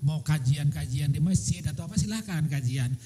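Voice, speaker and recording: A man's dark, mellow voice with vocal fry, lively intonation and a moderate pace. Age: 60s. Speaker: religious teacher answering questions at a seminar. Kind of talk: Q&A answer at religious seminar.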